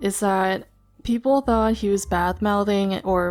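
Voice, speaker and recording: With an American accent, a plain, everyday voice moves at a fairly slow pace with fairly even intonation. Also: woman. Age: 20s. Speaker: YouTuber / VTuber commentator. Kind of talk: commentary monologue. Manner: casual, conversational.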